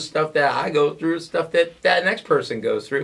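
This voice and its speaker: A man with an American accent talks at a moderate pace with ordinary pitch variation amid noticeable background noise. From upstate New York. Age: 30s. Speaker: radio host and stand-up comedian. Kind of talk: casual interview chat. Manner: animated.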